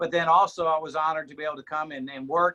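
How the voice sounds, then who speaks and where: Fairly quick and high-pitched for a man, his voice sounds dry and close with no echo. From Mississippi, US South. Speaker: TV weatherman. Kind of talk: casual chat. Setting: video call from home. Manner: loud.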